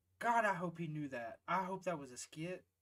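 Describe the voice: A man talks at a fairly slow pace. He speaks in a Southern US accent. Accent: Southern American.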